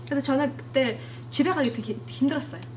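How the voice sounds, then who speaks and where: Fairly quick female speech with audible room echo and noticeable background noise. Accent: Mongolian. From Mongolia. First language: Mongolian (speaking Korean). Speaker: church member giving testimony. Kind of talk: testimony. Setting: church. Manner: halting.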